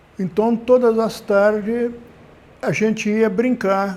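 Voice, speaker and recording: A man speaking at a very slow pace. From interior of São Paulo state, Brazil (Ribeirão Preto). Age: 80s+. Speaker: retired former cyclist and laborer. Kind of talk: documentary interview.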